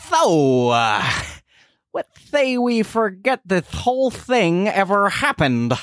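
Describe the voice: A man's cartoonish character voice, high-pitched and fairly bright, with very wide pitch swings and a slow pace.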